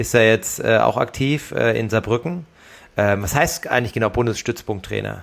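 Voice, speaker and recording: A man talks at a moderate pace with vocal fry. His pitch is medium, with ordinary pitch variation. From Germany, Darmstadt (Hesse). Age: 30s. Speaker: professional triathlete, podcast co-host. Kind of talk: casual chat.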